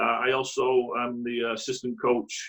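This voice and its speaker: A man with a Mancunian accent at a fairly slow pace. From northern England, Greater Manchester (Radcliffe). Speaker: youth soccer coach. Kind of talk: interview. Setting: video call.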